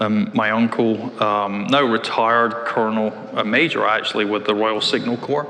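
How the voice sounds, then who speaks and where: A man talks at a moderate pace in a medium pitch, with fairly even intonation and very even loudness. Noticeable background noise runs underneath. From Scotland, Glasgow. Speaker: tech executive. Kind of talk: interview. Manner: hesitant, many fillers.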